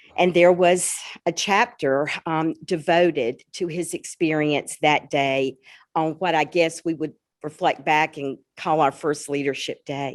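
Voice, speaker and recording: With a Southern US accent, a woman with a very deep, low pitch speaks at a fairly slow pace and fairly even intonation over a quiet background. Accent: Southern twang. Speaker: school principal. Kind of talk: public event conversation.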